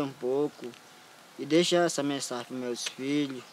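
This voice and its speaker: The intonation is fairly even. Noticeable background noise runs underneath. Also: man. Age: young. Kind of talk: interview. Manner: halting.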